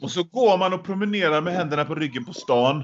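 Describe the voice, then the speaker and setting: The speaker is a man talking at a moderate pace. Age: 40s. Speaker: book podcast co-host. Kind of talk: casual chat. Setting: small room, former caretaker's bunker. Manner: halting, repeats words.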